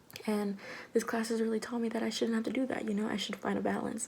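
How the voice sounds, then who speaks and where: A woman speaks while noticeable background noise runs underneath. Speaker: college student. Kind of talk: class video presentation. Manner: casual, conversational.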